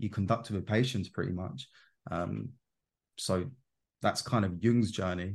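A man's ordinary speaking voice at a fairly quick pace, with fairly even intonation over a quiet background. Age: 20s. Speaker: self-development coach on Jungian psychology. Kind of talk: casual interview chat.

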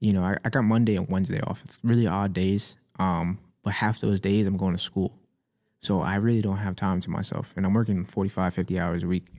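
Over a very clean recording with a silent background, a man with an American accent and an unremarkable speaking voice talks at a fairly quick pace, fairly low in pitch with fairly even intonation. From US Northeast, Staten Island, New York. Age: 20s. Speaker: rapper and music producer. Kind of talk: casual chat. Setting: studio.

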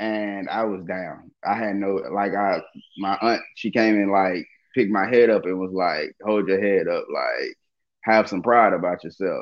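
Fairly slow and fairly even in intonation, the delivery comes in an ordinary speaking voice. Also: man, fairly low pitch for a man. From Dallas, Texas. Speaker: stand-up comedian. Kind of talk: casual interview chat.

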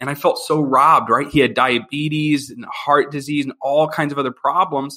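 A man with an American accent speaks at a moderate pace with hardly any pauses. His voice is fairly high, with a bright, sharp tone and fairly even intonation. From Philadelphia, Pennsylvania. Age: 30s. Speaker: financial services worker. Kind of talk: interview.

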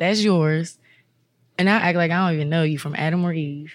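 A woman with an American accent talks at a fairly quick pace, with a fairly low pitch, ordinary pitch variation and an unremarkable speaking voice. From Maryland, Prince George's County. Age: 30s. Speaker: yoga instructor and massage therapist. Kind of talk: casual chat.

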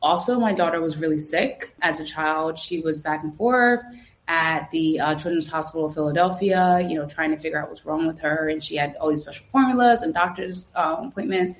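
The speaker has a New Jersey accent. The pace is fairly quick. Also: woman, fairly low pitch for a woman, ordinary pitch variation. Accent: New Jersey American. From New Jersey, Trenton. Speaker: Navy veteran. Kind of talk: interview.

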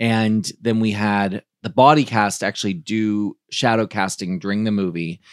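A man's unremarkable speaking voice, fairly low in pitch, with ordinary pitch variation at a fairly slow pace and hardly any pauses, dry and close with no echo, on a very clean recording with a silent background. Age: 40s. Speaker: drag performer and event host. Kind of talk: casual chat.

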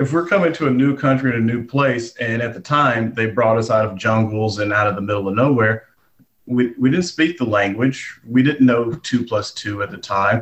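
An American accent marks this man's somewhat breathy voice, medium in pitch, with ordinary pitch variation at a moderate pace. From Texas, Gatesville. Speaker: comedian. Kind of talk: interview.

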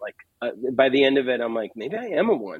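A man with an ordinary speaking voice talks at medium pitch and a fairly quick pace. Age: 30s. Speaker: singer-songwriter. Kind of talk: casual interview.

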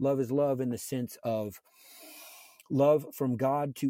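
A man speaks at a fairly slow pace in a plain, everyday voice with fairly even intonation, the sound dry and close with no echo. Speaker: podcast host. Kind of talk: solo monologue. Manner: casual, many filler words.

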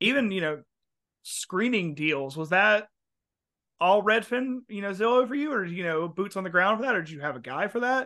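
In an American accent, a man with a high pitch and a bright, sharp tone speaks in a raised, projected voice at a fairly quick pace with lively intonation over a quiet background. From US South. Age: 20s. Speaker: podcast host. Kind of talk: casual interview chat.

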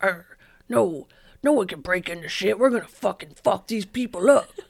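A put-on character voice sits at a middle pitch. The pace is moderate. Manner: aggressive, gruff.

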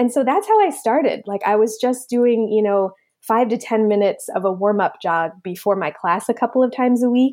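An ordinary speaking voice, a woman with an American accent, fairly high in pitch, with ordinary pitch variation, fairly quick and with hardly any pauses. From New Jersey, Monmouth County. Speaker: pediatrician and running coach. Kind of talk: interview.

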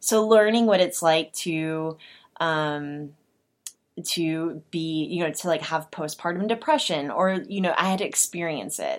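A woman with an American accent speaks at a fairly low pitch and a fairly slow pace. She has an ordinary speaking voice with ordinary pitch variation. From Oklahoma. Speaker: podcast co-host. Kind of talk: casual interview.

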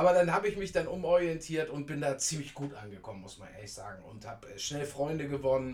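Against noticeable background noise, a man with a fairly high pitch talks at a very fast pace with lively intonation and big swings in loudness. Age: 50s. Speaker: scooter enthusiast. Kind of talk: interview. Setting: in person.

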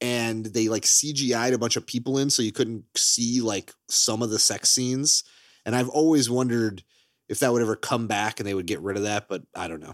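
In a very clean recording with a silent background, a man speaks at a moderate pace in an animated tone, his medium pitch showing ordinary variation. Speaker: podcast host. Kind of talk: casual comedic chat. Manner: animated, joking.

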